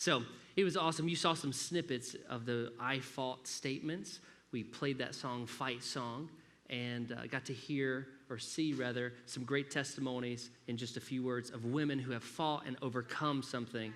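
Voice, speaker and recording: With a slight southern Alabama accent, a man speaks at medium pitch and a moderate pace, with audible room echo. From US South, Alabama (Grand Bay). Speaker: pastor. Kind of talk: sermon. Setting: church. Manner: animated.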